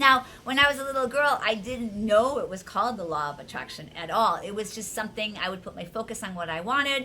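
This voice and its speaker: An enthusiastic woman with a fairly high pitch, lively intonation and a fairly quick pace, over noticeable background noise. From US Midwest (Wisconsin). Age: 60s. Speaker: life coach and video host. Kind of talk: casual vlog talk to viewers.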